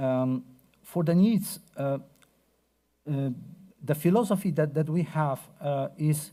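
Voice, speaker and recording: A man with a Polish accent, fairly high pitch and ordinary pitch variation, somewhat breathy with a dark, mellow tone, at a fairly slow pace on a very clean recording with a silent background. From Poland. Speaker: researcher. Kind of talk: conference talk. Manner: hesitant, many fillers.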